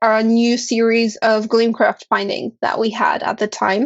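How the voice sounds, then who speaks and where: Speaking at a fairly slow pace is a woman. Her pitch sits fairly high. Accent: non-native. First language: not English. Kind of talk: casual chat.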